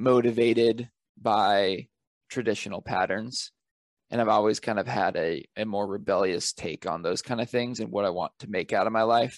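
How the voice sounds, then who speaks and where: Against a quiet background with a dry, close sound with no echo, a man with an American accent and an unremarkable speaking voice talks at a moderate pace in a fairly low pitch with fairly even intonation. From Northern California. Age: 20s. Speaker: author and travel photographer. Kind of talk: interview. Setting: podcast mic.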